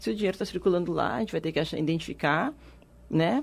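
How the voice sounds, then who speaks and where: A woman's voice with lively intonation. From Rio Grande do Sul, Brazil. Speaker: economic development adviser. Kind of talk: radio interview.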